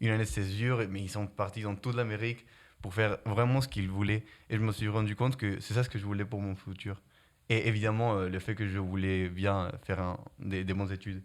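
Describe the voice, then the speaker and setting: A man's fairly low voice with a slight non-native accent, a fairly quick pace and fairly even intonation, on a very clean recording with a silent background. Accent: slight foreign. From Guatemala. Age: young. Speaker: student. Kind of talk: interview. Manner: hesitant, many fillers.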